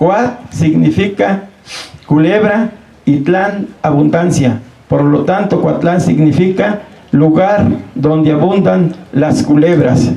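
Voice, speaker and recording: A man speaks at a very slow pace in a fairly high voice with very even loudness. There is audible room echo and noticeable background noise. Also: ordinary pitch variation. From Mexico, Morelos. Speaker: local chronicler. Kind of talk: public talk. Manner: halting.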